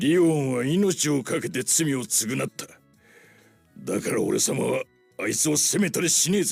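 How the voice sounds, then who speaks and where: A man does a raspy put-on character voice at a fairly high pitch, talking at a moderate pace with faint music in the background. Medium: cartoon. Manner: rough, boastful slangy speech.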